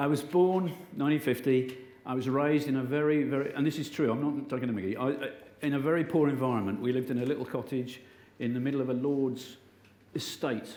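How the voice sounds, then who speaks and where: In an English accent, a man with a fairly high pitch talks at a very fast pace, with audible room echo around him. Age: 60s. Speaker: motivational speaker. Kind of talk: inspirational talk. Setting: stage with audience. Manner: animated.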